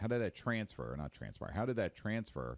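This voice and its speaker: Heard in a dry, close sound with no echo, a man talks at a moderate pace with very wide pitch swings. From New York. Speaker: podcast host. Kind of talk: interview.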